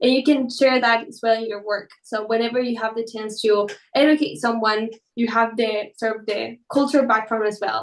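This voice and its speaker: With a Spanish accent, a woman talks at a moderate pace in a fairly high voice, her intonation fairly even but her loudness swinging widely. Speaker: quantum computing educator. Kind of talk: interview.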